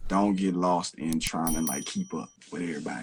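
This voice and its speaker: A man speaks with an Arkansas accent. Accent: Southern US (Arkansas). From US South, Camden, Arkansas. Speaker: rapper. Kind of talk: interview.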